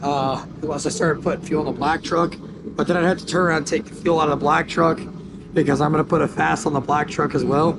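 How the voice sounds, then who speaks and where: A man talks at a very fast pace with fairly even intonation. Noticeable background noise runs under his voice. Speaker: diesel truck youtuber. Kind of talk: DIY tutorial vlog. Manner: casual, filler-heavy.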